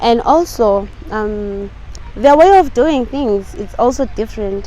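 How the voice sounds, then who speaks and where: Her voice sits fairly high. There is noticeable noise in the background. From South Africa. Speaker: English teacher. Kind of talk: interview.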